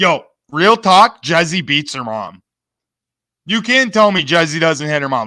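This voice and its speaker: An animated man's voice, bright and sharp in tone, with very wide pitch swings. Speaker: streamer doing re-stream commentary. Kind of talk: heated argument and commentary. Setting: online live stream. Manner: loud. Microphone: close to the mic.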